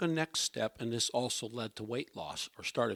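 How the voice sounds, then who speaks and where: A man speaks in a normal speaking voice at a moderate pace with ordinary pitch variation. The recording is very clean, with a silent background and a dry, close sound with no echo. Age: 60s. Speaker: health talk speaker. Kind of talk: personal health testimony talk. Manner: conversational, frequent okay.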